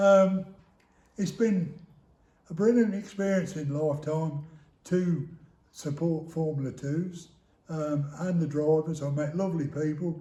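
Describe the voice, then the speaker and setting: With an English accent, a man of fairly high pitch and a dark, mellow tone speaks fairly slowly with fairly even intonation and long, frequent pauses, amid audible room echo. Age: 70s. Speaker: retired motorsport business founder. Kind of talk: interview.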